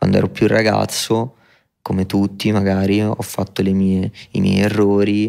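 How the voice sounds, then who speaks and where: Flat and monotone, a man's fairly low voice has a dark, mellow tone. He speaks at a fairly slow pace with very even loudness. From Rome, Italy. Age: 20s. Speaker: rapper. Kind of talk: interview. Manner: reflective.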